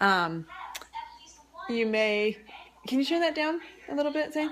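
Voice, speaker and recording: At a moderate pace, a woman's voice makes very wide pitch swings over noticeable background noise. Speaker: cooking video host and cookbook author. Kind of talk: casual home cooking tutorial. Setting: home kitchen, filming herself. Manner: chatty, halting with many ums.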